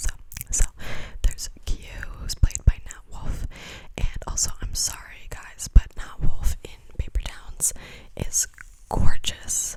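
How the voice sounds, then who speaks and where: Whispering at a very slow pace, broken by long, frequent pauses. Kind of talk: ASMR rambling talk to camera. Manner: whispered; rambling, repetitive.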